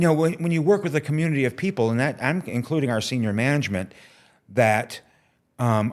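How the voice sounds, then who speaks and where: A man with an unremarkable speaking voice talks with lively intonation. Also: fairly high pitch for a man, fairly quick pace, very clean recording, silent background. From upstate New York (Watertown). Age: 60s. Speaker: TV technical manager. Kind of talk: interview.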